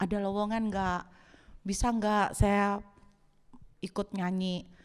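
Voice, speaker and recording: Monotone, flat intonation in a very clean recording with a silent background. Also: woman. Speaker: pastor. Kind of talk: sermon.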